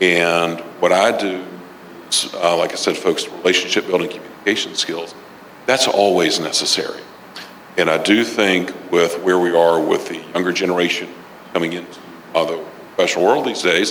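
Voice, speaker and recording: Through audible room echo and noticeable background noise, a man with a very deep, low pitch talks at a fairly quick pace in a monotone, flat intonation, with long, frequent pauses. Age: 60s. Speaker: business mentor and author. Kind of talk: interview.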